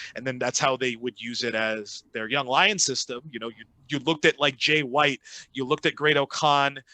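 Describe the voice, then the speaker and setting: At a fairly quick pace, a man with a medium pitch and a bright, sharp tone talks in a dry, close sound with no echo against a quiet background. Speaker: wrestling ring announcer and commentator. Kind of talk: interview answer.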